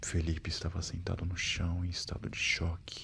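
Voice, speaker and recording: Very deep and low, this man's voice is somewhat breathy and monotone, with flat intonation. He speaks at a fairly slow pace. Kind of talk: horror story narration. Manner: soft-spoken.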